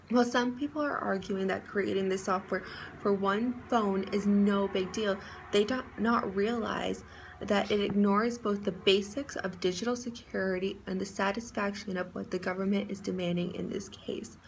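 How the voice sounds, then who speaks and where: Noticeable background noise sits under a woman's voice. She talks at a moderate pace and medium pitch with fairly even intonation. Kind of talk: class speech read aloud.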